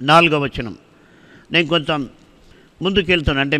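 A man's bright, sharp voice with ordinary pitch variation against a quiet background. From Andhra Pradesh, Anantapur district (Hindupur); Andhra Pradesh. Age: 60s. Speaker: preacher. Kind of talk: sermon. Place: church. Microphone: studio mic.

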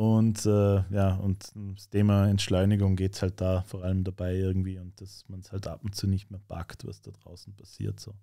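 A very deep, low male voice, dark and mellow in tone, flat and monotone, with big swings in loudness, hardly any pauses and a quiet background. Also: moderate pace. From Austria, Vorarlberg. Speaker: rapper; guest. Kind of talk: casual interview chat. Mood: relaxed, conversational. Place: studio. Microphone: studio mic.

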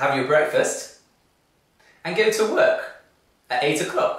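Over a quiet background, a man with a British accent speaks in a room with audible echo. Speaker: English teacher. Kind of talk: ESL lesson to camera. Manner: slow, clear. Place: studio.

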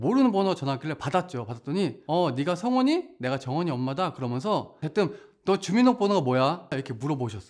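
Against a quiet background, a man with a high pitch talks very fast, his pitch swinging very widely. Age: 30s. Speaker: network marketing distributor. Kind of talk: testimony.

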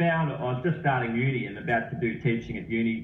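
At a moderate pace, a man with an Australian accent speaks at a medium pitch with ordinary pitch variation. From Australia, Sydney. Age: 40s. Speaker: running coach. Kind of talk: interview.

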